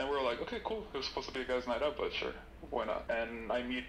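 Noticeable background noise runs beneath a man talking at a very fast pace. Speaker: caller. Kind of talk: casual chat.

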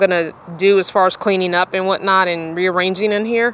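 Here a woman talks at a fairly quick pace. The sound is dry with no echo, with light background noise. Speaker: van dweller vlogger. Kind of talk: casual vlog chat. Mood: relaxed, musing. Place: car. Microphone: phone near.

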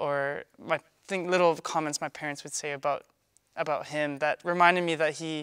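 Over light background noise, a man with a fairly high pitch speaks at a fairly quick pace with fairly even intonation. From Canada. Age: 20s. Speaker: retired figure skater. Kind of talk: interview answer. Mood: warm, reflective, smiling. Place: studio.

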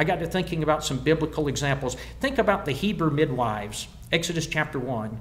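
A man with an American accent races along at a very fast pace, his fairly high, somewhat breathy voice full of lively intonation. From US South. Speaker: preacher. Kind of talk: sermon. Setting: stage with audience. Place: church. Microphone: podium.

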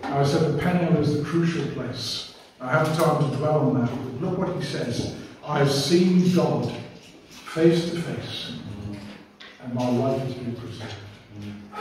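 Amid strong room echo and light background noise, a man with a fairly high voice speaks fairly slowly, his pitch varying ordinarily and his loudness swinging widely. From England. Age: old. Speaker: preacher. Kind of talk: sermon. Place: church.

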